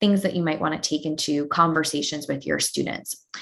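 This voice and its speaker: This woman speaks with an American accent. Her pitch is fairly low, with ordinary pitch variation. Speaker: educational technology presenter. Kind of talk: webinar tutorial. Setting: online webinar.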